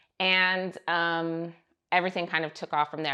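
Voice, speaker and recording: An American accent is heard. Behind the voice, the background stays quiet. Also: woman. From US West, California (Moreno Valley). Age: 30s. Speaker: private chef. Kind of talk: interview testimony. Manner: casual, filler-heavy.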